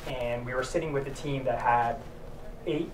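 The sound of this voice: Over clear background noise, a man speaks at a moderate pace and a medium pitch.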